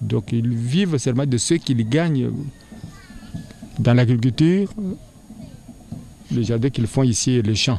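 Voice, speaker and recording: A man at medium pitch with lively intonation, fairly slow pace, long, frequent pauses and very even loudness, music in the background. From DR Congo, Kasai (Luebo). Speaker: school director. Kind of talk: interview. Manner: halting.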